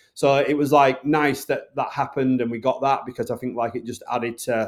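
A man in a Northern English accent on a very clean recording with a silent background. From Bradford, Yorkshire, northern England. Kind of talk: interview.

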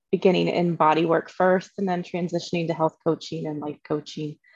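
This woman has a normal speaking voice with a fairly low pitch. Her intonation stays fairly even. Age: 40s. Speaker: wellness and life coach. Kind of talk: casual chat.

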